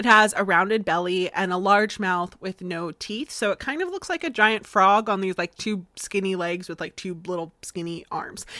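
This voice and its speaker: A woman with a slight Southern US accent speaks at a moderate pace in a bright, sharp tone and medium pitch, her intonation fairly even and hardly any pauses between words. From Florida, US. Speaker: podcast host. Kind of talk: casual podcast storytelling. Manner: conversational with many fillers.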